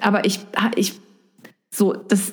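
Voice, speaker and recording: A woman is speaking. Audible echo from the room surrounds her voice. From central Hesse, Germany. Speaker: biology teacher and blogger. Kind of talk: casual interview. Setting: video call.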